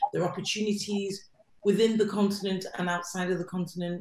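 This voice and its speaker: A woman is speaking. She has an English accent. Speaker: arts platform director and research fellow. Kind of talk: online panel introduction.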